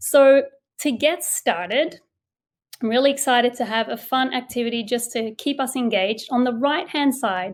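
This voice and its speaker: A woman in an Australian accent speaks with a high pitch. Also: ordinary pitch variation, moderate pace. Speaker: education consultant, former teacher. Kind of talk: webinar presentation.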